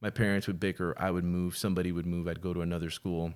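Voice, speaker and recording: On a very clean recording with a silent background, a man with a very deep, low pitch and an American accent talks at a fairly quick pace in a monotone, flat intonation. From Miami, Florida. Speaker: podcast guest, film crew worker and rideshare driver. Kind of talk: casual interview conversation. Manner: hesitant, many fillers.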